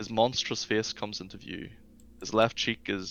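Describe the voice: Fairly even intonation in plain reading aloud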